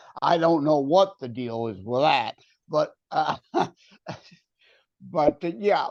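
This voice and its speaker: His pitch leaps over a very wide range. The man talks fairly slowly. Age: 60s. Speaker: author and entrepreneur. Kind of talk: casual chat. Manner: assertive.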